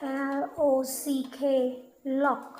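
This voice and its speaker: A woman's high voice in a Thai accent, with music in the background. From Thailand. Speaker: English teacher. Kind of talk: language lesson. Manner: slow, clear.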